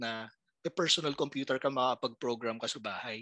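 A man's bright, sharp tone at a moderate pace, dry and close with no echo. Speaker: podcaster. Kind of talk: casual chat.

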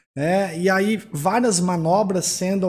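A high-voiced man at a very slow pace. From São Paulo, Brazil. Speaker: financial consultant. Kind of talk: panel discussion.

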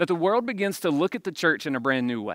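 A man with a Mississippi accent speaks in a bright, sharp tone. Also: very clean recording, silent background. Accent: Southern US (Mississippi). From Jones County, Mississippi. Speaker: campus pastor. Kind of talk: sermon.

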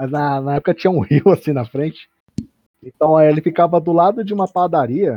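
Here a man talks in an unremarkable speaking voice at a fairly high pitch. His pace is fairly quick, with ordinary pitch variation. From São Paulo, Brazil. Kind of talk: casual chat.

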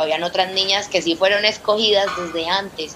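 A woman is heard over noticeable background noise. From Colombia, Villavicencio (Meta). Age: 20s. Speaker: former Olympic gymnast and coach. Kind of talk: testimony.

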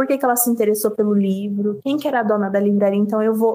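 Recorded dry and close with no echo, a woman speaks at a fairly high pitch with ordinary variation. She has a plain, everyday voice. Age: 20s. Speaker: independent novelist. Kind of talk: interview.

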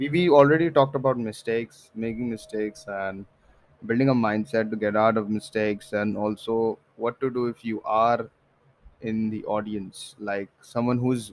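This man's voice sits at a medium pitch, with ordinary pitch variation and a moderate pace. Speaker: podcast host. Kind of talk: casual solo podcast monologue. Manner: drowsy.

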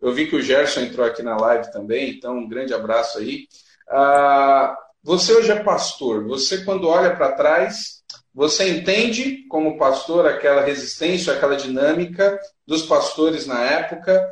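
A man speaks at a moderate pace with lively intonation. The room's echo is audible. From Brazil, São Paulo. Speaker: podcast host. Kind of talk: casual interview. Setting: live stream.

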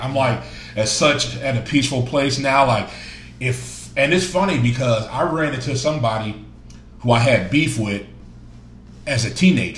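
A man at medium pitch speaks with lively intonation at a moderate pace, leaving long, frequent pauses. Audible room echo surrounds the voice.

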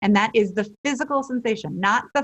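A woman's somewhat breathy voice moves at a moderate pace, her intonation lively. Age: 40s. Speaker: life and relationship coach. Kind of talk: interview. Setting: podcast recording.

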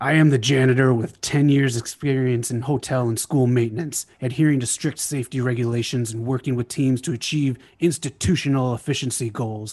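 A man puts on a gravelly character voice at medium pitch and a fairly quick pace. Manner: loud.

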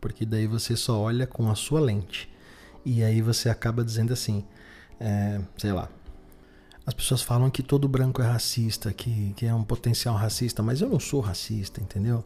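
Over music in the background, a man talks at a medium pitch with fairly even intonation. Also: moderate pace. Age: 30s. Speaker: podcast host. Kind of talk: solo monologue podcast. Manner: halting with frequent fillers.

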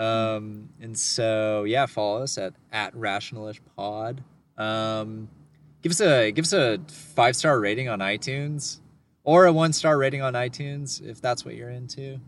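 An unremarkable speaking voice from a man, medium in pitch and fairly slow, with ordinary pitch variation and big swings in loudness. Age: 20s. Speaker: podcast co-host. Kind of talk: casual chat.

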